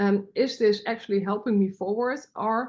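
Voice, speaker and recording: A woman with a Dutch accent, fairly high-pitched, with fairly even intonation and a moderate pace, over a quiet background. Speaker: podcaster. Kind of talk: personal development podcast monologue.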